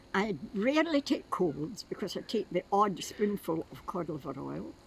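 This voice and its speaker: Over noticeable background noise, a woman's voice shows very wide pitch swings and big swings in loudness. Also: medium pitch for a woman, moderate pace. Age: 80s+. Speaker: retired nurse. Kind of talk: interview answer.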